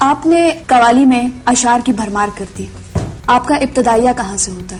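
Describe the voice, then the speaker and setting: A woman with a high-pitched voice talks over background music, her loudness rising and falling sharply. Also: ordinary pitch variation. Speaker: interviewer, TV host. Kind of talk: formal TV interview introduction.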